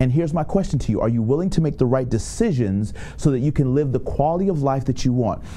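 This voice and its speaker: A man with a medium-pitched voice speaks in an animated tone and lively intonation, with audible room echo and noticeable background noise. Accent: American. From Tampa, Florida. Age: 30s. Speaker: motivational speaker. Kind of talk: motivational talk.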